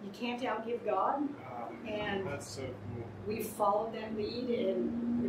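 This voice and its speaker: A woman talks amid loud background noise. The room echo is audible. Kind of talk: interview answer. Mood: earnest, warm.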